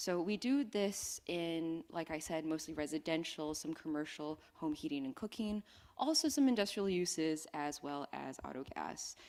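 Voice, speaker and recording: A woman with an ordinary speaking voice talks at a moderate pace with hardly any pauses, a fairly low pitch and lively intonation, on a very clean recording with a silent background. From Western Canada. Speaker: energy industry speaker. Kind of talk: conference presentation. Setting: conference stage with microphone. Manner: casual, conversational.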